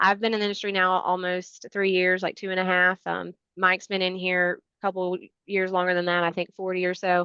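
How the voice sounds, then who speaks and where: Against a quiet background, a woman talks at a fairly quick pace in a medium pitch with monotone, flat intonation. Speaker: membership staff presenter. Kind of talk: webinar presentation. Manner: fast.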